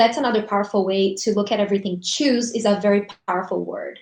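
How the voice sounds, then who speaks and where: A woman speaks with a Portuguese accent. Her pitch is fairly high and her pace fairly quick. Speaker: essential oils business host. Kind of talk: casual motivational chat on a livestream. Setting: live video stream.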